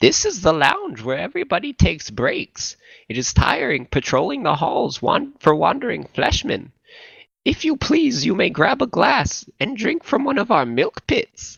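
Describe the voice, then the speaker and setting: A put-on character voice from a man, high in pitch, at a moderate pace. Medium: read story. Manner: formal, courteous, slightly stilted.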